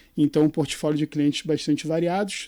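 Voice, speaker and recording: A man with a Rio de Janeiro accent speaks in a fairly high pitch with a dark, mellow tone and fairly even intonation. The recording is very clean, with a silent background. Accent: carioca accent, noticeable. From Brazil, Rio de Janeiro. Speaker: executive search consultant. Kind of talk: podcast interview.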